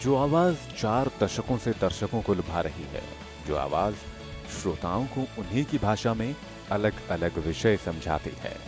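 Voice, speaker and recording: Music plays in the background as a man speaks. His fairly low voice swings very widely in pitch. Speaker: voice-over artist. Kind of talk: interview answer.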